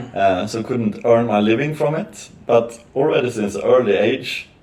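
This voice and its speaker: Lively intonation marks a man's medium-pitched voice at a fairly slow pace. Audible room echo surrounds him. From northern Sweden. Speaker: podcast guest, businessman. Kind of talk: casual chat. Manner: halting, many fillers.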